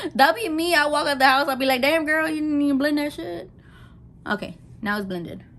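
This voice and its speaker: The voice is animated, with very wide pitch swings and a fairly quick pace. Audible room echo surrounds it. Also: woman, high pitch for a woman. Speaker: makeup vlogger. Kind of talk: casual makeup tutorial. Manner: fast, rushing.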